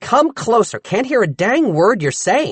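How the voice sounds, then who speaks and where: In a put-on character voice, the speaker moves at a moderate pace through very wide pitch swings. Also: man. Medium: read story. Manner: brusque, impatient.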